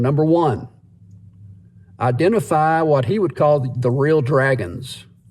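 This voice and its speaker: In a very clean recording with a silent background, a man speaks in a fairly high, somewhat breathy voice with ordinary pitch variation. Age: 60s. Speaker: vlogger. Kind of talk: casual monologue. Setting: in a parked car.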